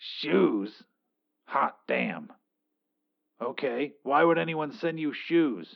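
A raspy, put-on character voice at a low-to-middle pitch, very slow, with long, frequent pauses. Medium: read story. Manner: curt, commanding.

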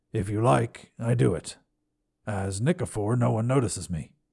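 A man puts on a raspy character voice, fairly low in pitch and at a moderate pace, in a very clean recording with a silent background. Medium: read story. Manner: terse, simple phrasing.

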